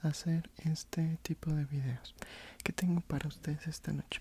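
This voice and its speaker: Soft-spoken delivery with a dark, mellow tone, a gentle, calm tone, monotone and flat intonation, and a fairly slow pace. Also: man. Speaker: ASMR content creator. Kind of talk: casual intro to camera before reading. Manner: soft-spoken, gentle, calm.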